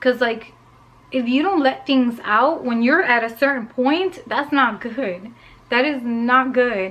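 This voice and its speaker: Loud speech comes through with ordinary pitch variation. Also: woman. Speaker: lifestyle vlogger. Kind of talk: casual vlog monologue. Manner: animated, talkative.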